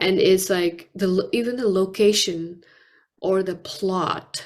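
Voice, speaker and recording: In a Nepali accent, a woman with a fairly low pitch speaks at a fairly slow pace. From Nepal (Kathmandu). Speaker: poet and author. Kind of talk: interview.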